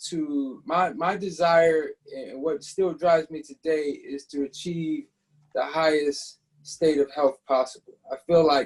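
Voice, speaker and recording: A man's normal speaking voice with an American accent, fairly high in pitch with ordinary pitch variation, at a fairly slow pace. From upstate New York. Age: 40s. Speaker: raw food chef and author. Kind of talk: interview.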